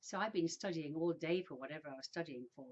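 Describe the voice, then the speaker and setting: With an English accent, a woman speaks at a fairly low pitch. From England, Birmingham and a new town near London. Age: 60s. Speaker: vlogger. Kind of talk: personal storytelling monologue. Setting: indoors, sitting in a room. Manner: casual, with hesitations.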